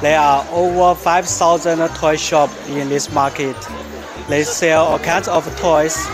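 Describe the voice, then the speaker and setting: A man at a very slow pace with fairly even intonation, a dry sound with no echo, and clear music in the background. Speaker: market tour guide vlogger. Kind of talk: casual vlog chat. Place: market. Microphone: phone near.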